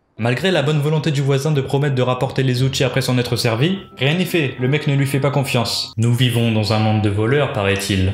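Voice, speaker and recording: A man with a medium pitch talks at a fairly quick pace in very even loudness, barely pausing, with ordinary pitch variation over noticeable background noise. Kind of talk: comedic parody commentary. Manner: casual, joking.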